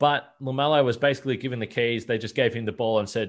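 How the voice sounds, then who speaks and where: A man's medium-pitched voice in an Australian accent, very fast, with ordinary pitch variation. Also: quiet background. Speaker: basketball podcast host. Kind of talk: casual interview.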